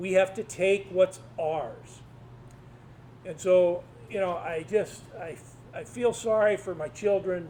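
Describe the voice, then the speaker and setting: In a Midwestern US accent, the speaker goes at a very slow pace with long, frequent pauses, big swings in loudness and ordinary pitch variation. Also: man, high pitch for a man. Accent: US Midwest. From Iowa. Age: 60s. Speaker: retired engineering professor and advocacy group president. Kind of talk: public talk. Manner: animated.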